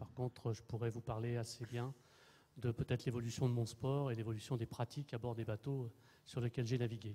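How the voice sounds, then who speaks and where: Dark and mellow in tone and somewhat breathy, a man speaks at a fairly quick pace in a monotone, flat way. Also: medium pitch for a man. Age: 60s. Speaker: retired sailing skipper. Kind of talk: panel testimony.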